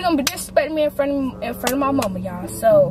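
A woman talks at a very fast pace, with clear music playing behind her and a dry sound that has no echo. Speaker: family vlogger. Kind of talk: casual vlog chat. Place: car.

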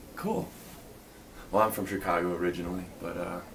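Speech comes at a moderate pace against noticeable background noise. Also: man. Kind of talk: casual role-play conversation. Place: home room. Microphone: webcam.

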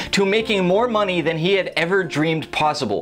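A man speaks fairly quickly. Music plays faintly behind him. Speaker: book reviewer. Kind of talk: book review monologue. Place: studio.

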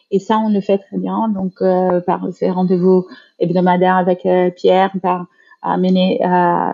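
Very slow, monotone, flat delivery from a woman at a medium pitch. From Brazil. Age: 40s. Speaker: HR director. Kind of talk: interview, casual chat. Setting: video call.

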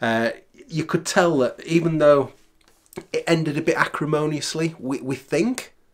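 This man speaks at a fairly slow pace in a fairly high voice with ordinary pitch variation.

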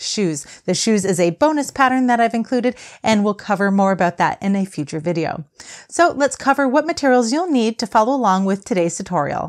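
Against a quiet background, a woman speaks at a fairly quick pace with very wide pitch swings. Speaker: crochet teacher. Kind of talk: tutorial. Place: studio.

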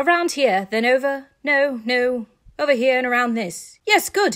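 A female-sounding put-on character voice mumbles at a high pitch and a moderate pace. The recording is very clean, with a silent background. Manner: muddled, mumbling to himself.

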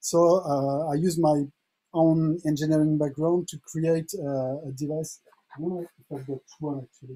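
Over a quiet background, a man with a French accent speaks in a monotone, flat intonation. His pace is fairly slow. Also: fairly high pitch for a man. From France. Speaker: music producer and device developer; guest. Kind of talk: online tutorial; interview answer and tutorial. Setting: video call. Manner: halting, repeats words. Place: home room.

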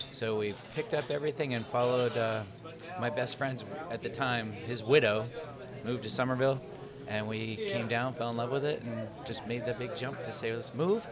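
Music plays in the background as a man talks. He moves at a fairly quick pace with ordinary pitch variation. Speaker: guest. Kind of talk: interview answer. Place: cafe. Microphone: studio mic.

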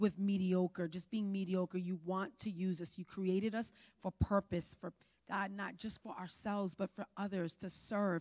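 A woman with an American accent speaks at a moderate pace and medium pitch in an animated tone. The background is quiet. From New York. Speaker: pastor. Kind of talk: sermon. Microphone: handheld.

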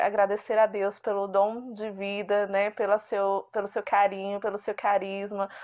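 Moderate pace from a woman, quiet background. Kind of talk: recorded congratulatory testimony. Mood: warm, grateful.

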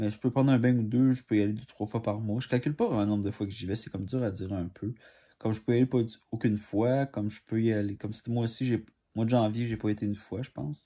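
Over a quiet background, a man with a dark, mellow tone speaks very fast with fairly even intonation. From Quebec, Montreal. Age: 20s. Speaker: commercial auditionee; candidate. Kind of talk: audition self-presentation. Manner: halting. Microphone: phone near.

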